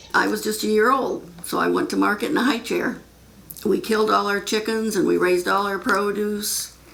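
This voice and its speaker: At a moderate pace, the speech comes through noticeable background noise and audible room echo. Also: woman. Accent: American. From Michigan, US Midwest. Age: 70s. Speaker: farmer. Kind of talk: interview testimony.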